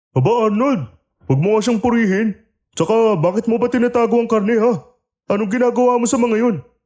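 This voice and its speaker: A man's put-on character voice at an extremely high pitch, fairly quick in pace, with ordinary pitch variation and very even loudness. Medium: audio drama. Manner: fast, chattering, comic.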